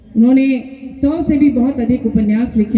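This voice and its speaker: A voice with a Bengali accent is heard against noticeable background noise. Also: woman. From Ranchi, Jharkhand, India. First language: Bengali (speaking Hindi). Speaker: writer and politician. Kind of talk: public speech.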